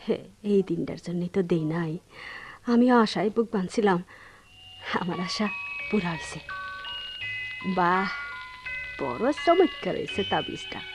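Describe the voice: With faint music in the background, a woman puts on a character voice at a fairly low pitch, using big pitch swings, a slightly husky edge and a fairly slow pace.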